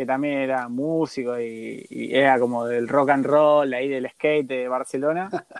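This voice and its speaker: A man speaks in a plain, everyday voice at a medium pitch. His pace is fairly slow, his intonation fairly even, with hardly any pauses. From Argentina. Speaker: radio host. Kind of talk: casual interview.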